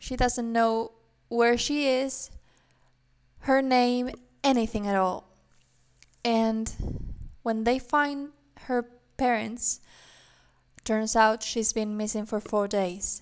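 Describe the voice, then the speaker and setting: A woman speaks at a very slow pace with a non-native accent and long, frequent pauses. Her pitch is fairly high and her intonation fairly even. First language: not English. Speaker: book podcaster. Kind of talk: casual monologue. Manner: halting.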